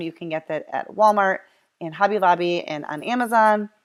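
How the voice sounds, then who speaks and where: A woman speaks with fairly even intonation. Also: very clean recording, silent background. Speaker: craft YouTuber. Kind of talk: tutorial. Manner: fast; casual, with fillers and self-corrections.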